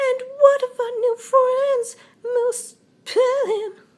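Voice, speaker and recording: In a put-on character voice pitched extremely high, the speaker goes very slowly with monotone, flat intonation. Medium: read story. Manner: sarcastic.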